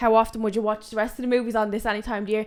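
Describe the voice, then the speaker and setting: Recorded very cleanly against a silent background, a woman speaks at a fairly high pitch. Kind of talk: podcast conversation.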